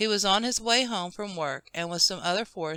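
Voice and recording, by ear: Reading aloud in a natural voice, the speaker's pitch moves up and down normally.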